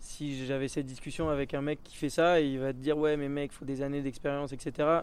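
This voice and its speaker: A man's dark, mellow tone unfolds at a moderate pace. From French Alps (Hautes-Alpes). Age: 20s. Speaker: BASE jumper and highline athlete. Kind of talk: casual interview and vlog commentary.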